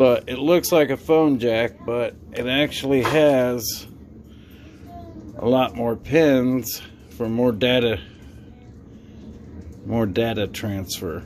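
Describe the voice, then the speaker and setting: Over crowd noise in the background, the speech moves at a very slow pace with long, frequent pauses. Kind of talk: casual tutorial. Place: workshop.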